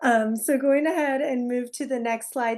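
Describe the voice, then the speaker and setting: A woman's high-pitched voice over a quiet background. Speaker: family support workshop presenter. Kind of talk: workshop presentation.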